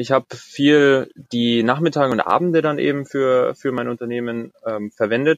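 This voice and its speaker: A man with a normal speaking voice, medium pitch and moderate pace, in a dry, close sound with no echo. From Bavaria, Germany. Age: 20s. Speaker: corporate intrapreneur. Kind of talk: interview.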